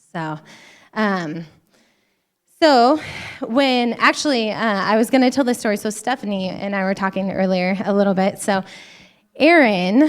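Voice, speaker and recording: With an American accent, a woman at medium pitch uses lively intonation at a moderate pace, broken by long, frequent pauses. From Montana. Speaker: women's conference speaker, physician assistant. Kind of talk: church conference talk.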